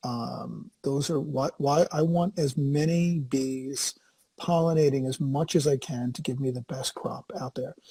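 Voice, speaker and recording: A man with an American accent speaks at a fairly slow pace and fairly high pitch, his somewhat breathy voice dark and mellow in tone, with fairly even intonation and a dry, close sound with no echo. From Massachusetts, US. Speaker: podcast host. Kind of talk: casual chat.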